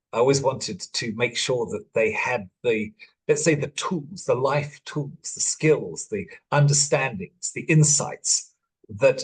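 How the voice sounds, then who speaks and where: A man speaks fairly slowly in a fairly high, somewhat breathy voice. His intonation is lively. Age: 60s. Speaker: life coach and father. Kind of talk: masterclass talk. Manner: halting.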